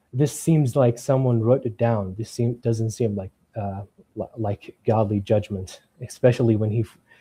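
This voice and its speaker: This man has an Arabic accent and a dark, mellow tone that is somewhat breathy. He speaks at a moderate pace with fairly even intonation. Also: medium pitch for a man. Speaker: caller challenging Islam. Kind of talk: debate. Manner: halting, hesitant.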